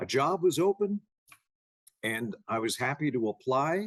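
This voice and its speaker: Dry and close with no echo, the sound carries a man speaking in a relaxed tone. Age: 60s. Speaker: TV meteorologist and entrepreneur. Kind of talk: interview. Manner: relaxed, conversational.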